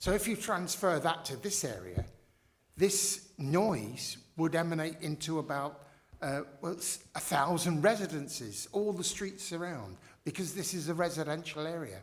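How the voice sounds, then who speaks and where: A man at a high pitch, with ordinary pitch variation, a moderate pace and audible room echo. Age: 70s. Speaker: local resident objecting at licensing hearing. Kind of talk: formal hearing testimony. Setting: council licensing panel hearing. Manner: halting.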